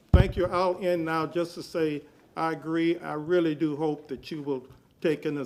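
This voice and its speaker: In an ordinary speaking voice, a man with an American accent talks at a moderate pace, his pitch fairly high and his intonation fairly even. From Tampa, Florida. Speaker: public commenter at city council. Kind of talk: public comment tribute. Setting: city council meeting.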